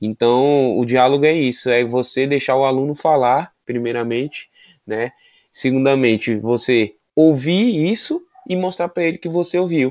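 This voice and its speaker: This man talks at a moderate pace. His pitch sits in the medium range and varies in an ordinary way. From Brazil, Federal District. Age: 20s. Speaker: podcast co-host, pedagogy student. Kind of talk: casual chat. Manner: halting.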